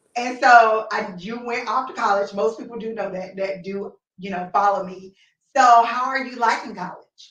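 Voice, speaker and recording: Speaking in a normal speaking voice, a woman with a fairly high pitch talks at a moderate pace, with ordinary pitch variation and big swings in loudness. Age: 30s. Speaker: talk show host. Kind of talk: casual chat.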